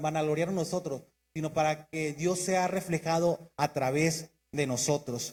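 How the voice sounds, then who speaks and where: The speaker is a man with a fairly slow pace. His intonation stays fairly even. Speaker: preacher. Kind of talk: sermon.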